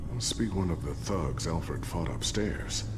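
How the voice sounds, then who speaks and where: A man performs a put-on character voice at a moderate pace. Loud background noise runs underneath. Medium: machinima. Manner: calm, supportive.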